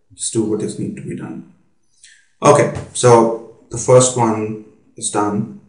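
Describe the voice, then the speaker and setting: A man speaks at a very slow pace with long, frequent pauses, in a somewhat breathy voice of medium pitch. His loudness swings widely, his pitch variation is ordinary, and there is audible room echo. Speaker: business consultant. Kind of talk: lecture. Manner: hesitant, many fillers.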